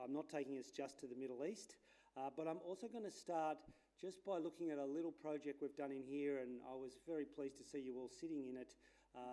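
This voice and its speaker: Talking at a very fast pace with an Australian accent, a man has a fairly high pitch and a dark, mellow tone. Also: ordinary pitch variation. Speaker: landscape architect. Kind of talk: conference talk. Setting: stage with audience. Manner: casual, hesitant with fillers.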